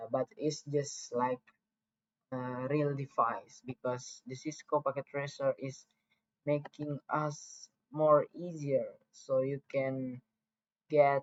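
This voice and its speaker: Very slow speech in a non-native accent, with long, frequent pauses. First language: not English. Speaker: networking tutorial creator. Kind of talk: tutorial. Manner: halting, many fillers.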